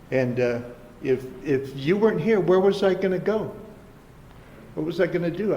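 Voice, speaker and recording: A man with a high pitch, lively intonation and a moderate pace, long, frequent pauses, audible room echo and noticeable background noise. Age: 70s. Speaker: recovery speaker. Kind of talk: recovery testimony talk. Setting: treatment center meeting with audience. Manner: halting, repetitive starts.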